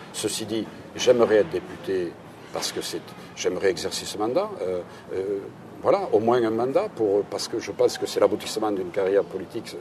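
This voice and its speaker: Through noticeable background noise, a man speaks fairly quickly. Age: 60s. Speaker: local politician, candidate. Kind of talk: political interview. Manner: hesitant, repeating words.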